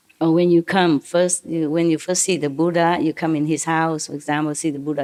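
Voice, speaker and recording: A woman's very deep, low voice with a non-native accent and monotone, flat intonation. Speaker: spiritual teacher. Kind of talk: lecture on scripture. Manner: informal, digressive explaining.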